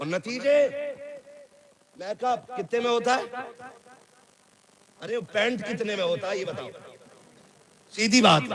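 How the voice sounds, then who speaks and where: Amid noticeable background noise, a man with a high pitch speaks in a passionate tone. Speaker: Islamic scholar giving a sermon. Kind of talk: Islamic reformist sermon (bayan). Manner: passionate, scolding, humorous.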